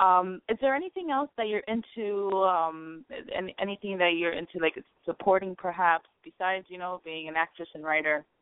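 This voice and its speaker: A woman's medium-pitched voice at a moderate pace, with ordinary pitch variation and big swings in loudness. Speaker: online radio host. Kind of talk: interview. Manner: halting, many filler words.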